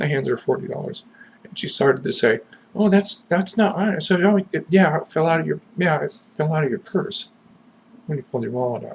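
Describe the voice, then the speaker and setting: A man with an American accent speaks in a high voice with lively intonation. His loudness swings widely. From US West Coast, Southern California. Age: 60s. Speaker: vlogger. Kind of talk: personal video message. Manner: casual, halting.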